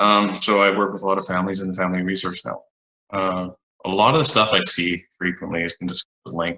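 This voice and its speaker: A very fast-talking man with a very deep, low pitch, fairly even intonation and a western Canadian accent. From Alberta, Canada. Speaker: psychologist. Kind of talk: panel discussion.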